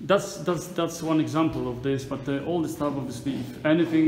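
A man's fairly quick delivery with fairly even intonation, audible room echo and light background noise. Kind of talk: walking tour commentary. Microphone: phone near.

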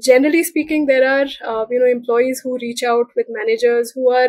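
A woman speaks in a high pitch with ordinary pitch variation. The sound is dry with no echo, and the background is quiet. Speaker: guest. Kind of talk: interview answer. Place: home room. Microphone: video call.

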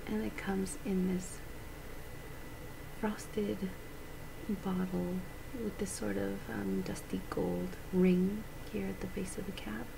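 Soft-spoken and gentle in tone, a woman talks at a fairly slow pace. Background noise is noticeable. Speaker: beauty vlogger. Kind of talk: casual makeup review chat. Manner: soft-spoken, gentle close voice. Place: home room. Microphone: webcam.

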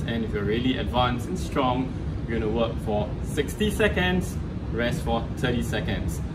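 A man's words unfold at a moderate pace as music plays in the background. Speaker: fitness trainer. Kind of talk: tutorial. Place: gym.

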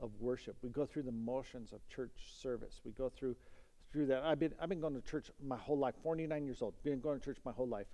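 A man talks in a dark, mellow tone with ordinary pitch variation. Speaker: pastor. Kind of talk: sermon. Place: church. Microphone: headset.

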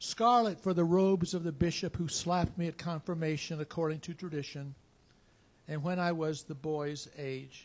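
Pitched high, a man talks at a moderate pace with fairly even intonation. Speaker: poet. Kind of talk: poetry reading at open mic. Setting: stage with audience. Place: cafe.

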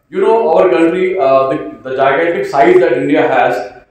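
A man at a fairly quick pace with ordinary pitch variation and strong room echo. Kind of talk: formal speech. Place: hall. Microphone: podium.

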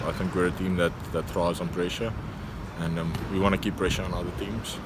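Noticeable background noise runs under a man's voice. The sound is dry, with no echo. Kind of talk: interview answer. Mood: content but self-critical. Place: stadium. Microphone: phone near.

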